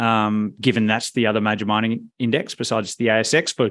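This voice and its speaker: Here a man with an Australian accent speaks at a fairly low pitch. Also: quiet background. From Perth, Western Australia. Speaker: fund manager. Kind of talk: interview.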